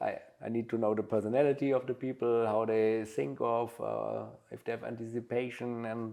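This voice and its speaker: A man's medium-pitched voice with a German accent, a dark, mellow tone, fairly even intonation and a moderate pace. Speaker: butler and household manager. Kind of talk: interview. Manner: halting, many fillers.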